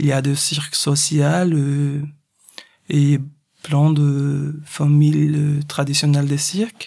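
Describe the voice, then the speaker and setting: Very slow, somewhat breathy speech with a Portuguese accent, a dark, mellow tone, flat monotone intonation and long, frequent pauses. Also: man, fairly high pitch for a man. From Brazil, Recife. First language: Portuguese (speaking French). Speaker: circus artist. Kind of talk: interview.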